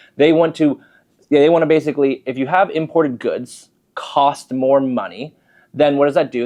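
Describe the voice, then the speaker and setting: Against a quiet background, a man with a fairly high pitch uses a normal speaking voice at a moderate pace. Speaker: mortgage broker. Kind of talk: market commentary video.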